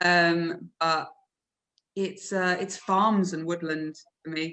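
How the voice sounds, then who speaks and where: A woman's fairly low, bright, sharp voice in an English accent, very slow and flat in a monotone. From England. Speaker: podcast co-host. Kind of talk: casual interview chat.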